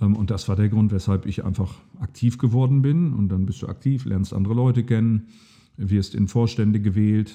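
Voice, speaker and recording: A man speaks at a moderate pace in a fairly low voice with a dark, mellow tone and ordinary pitch variation. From East Frisia, northern Germany (Aurich). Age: 40s. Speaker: state parliament member. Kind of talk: interview.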